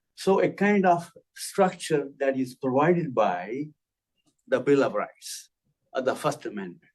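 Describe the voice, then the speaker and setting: A man with a non-native accent speaks at a fairly slow pace with long, frequent pauses. His pitch is fairly high, with very wide pitch swings. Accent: some foreign. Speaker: lecturer. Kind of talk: lecture. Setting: classroom with audience and Zoom.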